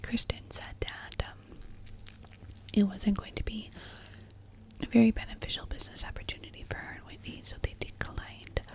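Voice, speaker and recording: Someone whispers at a moderate pace with long, frequent pauses. Loudness swings widely over noticeable background noise. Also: woman. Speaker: ASMR content creator. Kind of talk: ASMR whisper ramble about influencer gossip. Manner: soft-spoken, whispering, conversational.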